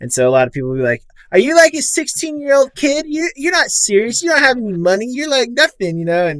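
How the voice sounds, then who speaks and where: An extremely high-pitched man at a very fast pace, with very wide pitch swings. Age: 20s. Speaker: podcast co-host. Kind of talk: podcast interview.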